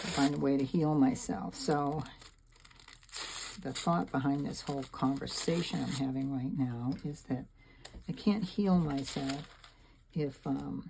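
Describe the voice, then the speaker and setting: With noticeable background noise, a woman speaks fairly slowly in a very deep, low voice, leaving long, frequent pauses. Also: lively intonation. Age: 70s. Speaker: mixed media artist. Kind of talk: casual chat while making art. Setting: home studio. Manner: halting, many fillers.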